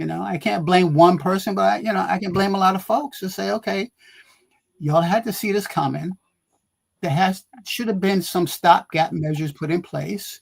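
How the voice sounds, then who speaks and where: A man at a moderate pace, high in pitch, with ordinary pitch variation. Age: 70s. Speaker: health magazine publisher, panelist. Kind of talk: talk show panel discussion. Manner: animated.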